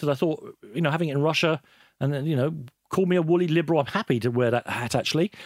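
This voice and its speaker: A man's fairly high-pitched voice with lively intonation, dry and close with no echo, on a very clean recording against a silent background. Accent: London. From London (Islington), of Irish background. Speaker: football broadcaster and journalist. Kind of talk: casual interview. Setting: studio.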